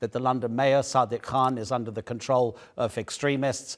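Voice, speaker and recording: A man with a British accent talks at a fairly quick pace in a medium pitch. His intonation is fairly even, and the recording is very clean with a silent background. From UK. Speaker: news anchor. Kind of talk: news interview.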